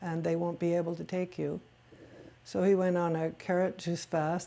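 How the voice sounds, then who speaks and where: Fairly slow speech from a woman in a dark, mellow tone, with monotone, flat intonation. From Quebec, Canada (Montreal). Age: 60s. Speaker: oral history interviewee. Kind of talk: oral history interview.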